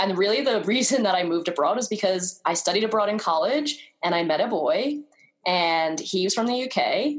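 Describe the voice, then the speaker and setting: In a New York accent, a woman speaks at medium pitch and a moderate pace, with lively intonation and very even loudness. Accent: American, New York. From US, New York. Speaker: travel blogger. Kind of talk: interview.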